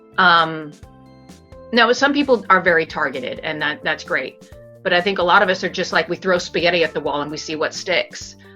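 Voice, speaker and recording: With music playing behind her, a woman speaks in a General American accent at a fairly low pitch, her intonation lively. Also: fairly quick pace. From Arizona. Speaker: actor and voice over artist. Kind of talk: interview answer. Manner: thoughtful, hesitant.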